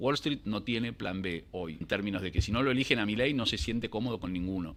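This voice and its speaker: Ordinary pitch variation marks a man talking at a fairly quick pace. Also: fairly low pitch for a man. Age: 60s. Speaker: financial analyst. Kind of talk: interview. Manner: halting.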